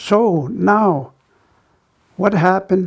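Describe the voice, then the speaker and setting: A man is speaking. His voice carries vocal fry. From Siksika Nation, southern Alberta, Canada. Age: 60s. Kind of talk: talk on culture and health. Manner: halting, with fillers.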